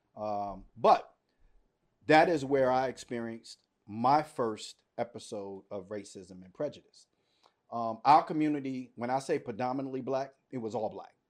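A man with an American accent talks at a moderate pace in an ordinary speaking voice, medium in pitch with ordinary pitch variation. His loudness swings widely, and the recording is very clean with a silent background. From Washington, D.C. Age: 50s. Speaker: podcast co-host. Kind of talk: casual chat.

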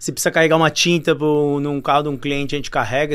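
A man talks very fast in a fairly high pitch. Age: 30s. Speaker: family business owner. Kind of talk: interview.

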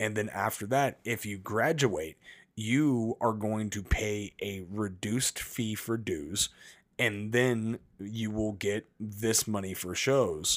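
On a very clean recording with a silent background, a man with an American accent speaks at a very slow pace in a fairly low pitch with ordinary pitch variation. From Las Vegas, US. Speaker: professional wrestler and podcast co-host. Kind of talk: casual chat.

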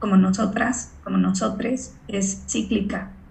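A woman of medium pitch at a very slow pace, with audible room echo and noticeable background noise. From Mexico. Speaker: voice and acting coach. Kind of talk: casual interview.

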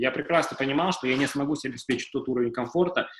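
An ordinary speaking voice from a man, fairly high in pitch, with ordinary pitch variation. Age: 30s. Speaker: lawyer, managing partner of a law firm. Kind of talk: casual interview. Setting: live stream.

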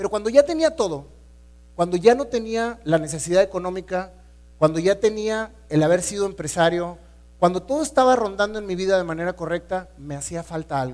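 In a very clean recording with a silent background, a man speaks at a high pitch and fairly quick pace with ordinary pitch variation. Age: 40s. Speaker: entrepreneur and motivational speaker. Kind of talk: inspirational talk. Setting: stage with audience.

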